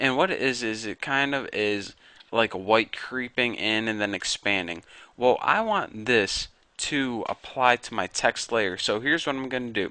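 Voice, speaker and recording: Heard in a dry, close sound with no echo over a quiet background, a man with a bright, sharp tone speaks at a fairly slow pace with ordinary pitch variation. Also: medium pitch for a man. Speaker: video tutorial creator. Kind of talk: tutorial. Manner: casual.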